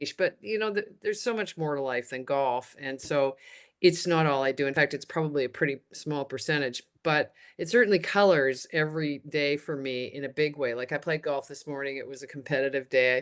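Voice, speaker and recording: Speaking at a fairly quick pace with a Canadian accent, a woman has a very deep, low pitch and ordinary pitch variation against a quiet background. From Canada. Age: 60s. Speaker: retired TV and radio host. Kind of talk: podcast interview. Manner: halting, many restarts.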